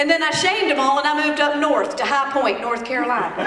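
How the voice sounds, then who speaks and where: Amid noticeable background noise and audible room echo, a woman with a Southern accent speaks in a raised, projected voice, high in pitch, at a moderate pace. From Georgia, US South. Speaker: storyteller and motivational speaker. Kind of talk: motivational keynote with comedy. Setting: stage with audience at a conference. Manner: animated.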